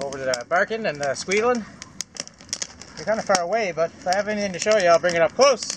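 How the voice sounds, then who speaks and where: A high-voiced man with a Canadian Maritime accent talks very fast with lively intonation, yet leaves long, frequent pauses. Noticeable background noise runs behind him. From Atlantic Canada (Maritimes, PEI). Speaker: beer reviewer and bushcraft vlogger. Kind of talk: casual vlog beer review. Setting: outdoors by a campfire. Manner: loud. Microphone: far from the camera.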